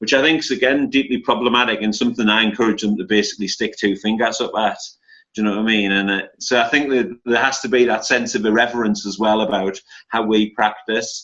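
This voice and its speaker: Speaking at a very fast pace, a man with a northeast English accent has a medium pitch, a bright, sharp tone and fairly even intonation. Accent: northeast England (Geordie). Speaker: academic and activist. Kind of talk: panel discussion.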